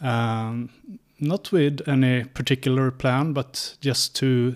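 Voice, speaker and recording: A medium-pitched man with a Swedish accent, in a very clean recording with a silent background. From rural Sweden. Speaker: scientist and traveling libertarian. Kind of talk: interview.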